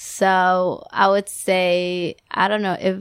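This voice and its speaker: This is a woman with a Spanish accent and a medium pitch. The recording is very clean, with a silent background. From Ecuador. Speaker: guest, daughter, translator. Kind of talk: casual interview chat.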